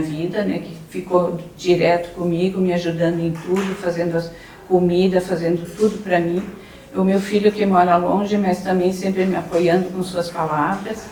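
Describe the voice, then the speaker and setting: A woman's fairly low, monotone voice at a moderate pace, with audible room echo and noticeable background noise. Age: 60s. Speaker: breast cancer survivor. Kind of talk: testimony. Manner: halting.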